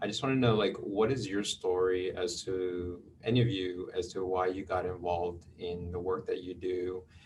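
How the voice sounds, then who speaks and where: A man with an American accent and a very deep, low pitch, at a moderate pace with fairly even intonation, over music in the background. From US West Coast, Los Angeles (San Fernando Valley). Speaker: public agency community outreach moderator. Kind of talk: video call panel Q&A.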